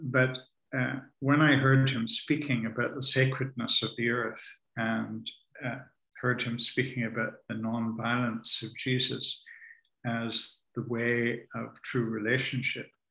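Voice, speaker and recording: Over a quiet background, a man with a medium-pitched voice speaks at a very slow pace in a bright, sharp tone with monotone, flat intonation. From Canada, Ontario. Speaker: author and spiritual teacher; spiritual teacher. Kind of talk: conversational talk on spirituality. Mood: calm, reflective, warm. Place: home room.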